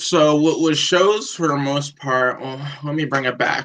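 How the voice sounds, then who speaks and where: Speaking fairly slowly in an ordinary speaking voice, a man with an American accent and a fairly high pitch shows ordinary pitch variation. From New Hampshire, US. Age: 20s. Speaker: rapper. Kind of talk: casual interview chat.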